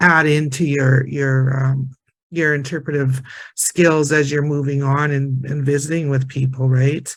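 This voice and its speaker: Somewhat breathy, fairly high male voice at a moderate pace, with monotone, flat intonation. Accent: Prairie. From northern Alberta, Canada. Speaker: Métis community member and heritage interpreter. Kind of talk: panel discussion sharing circle. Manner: hesitant, many fillers and repetitions.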